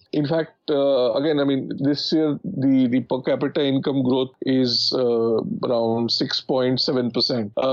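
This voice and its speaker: Speaking with an Indian accent, a man uses a medium pitch and ordinary pitch variation. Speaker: economics commentator. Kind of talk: panel discussion.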